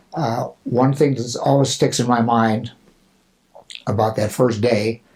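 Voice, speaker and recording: The man's delivery is fairly slow and somewhat breathy, with fairly even intonation. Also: medium pitch for a man. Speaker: Marine Corps veteran helicopter pilot. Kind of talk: oral history interview. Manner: halting, many fillers.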